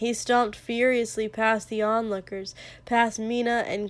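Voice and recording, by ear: This is reading aloud in a natural voice. Nothing else stands out.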